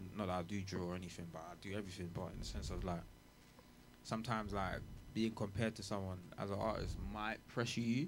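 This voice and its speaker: Audible room echo surrounds a man with a London accent. He talks very fast with a fairly low pitch and fairly even intonation. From England. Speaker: rapper. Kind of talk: casual chat.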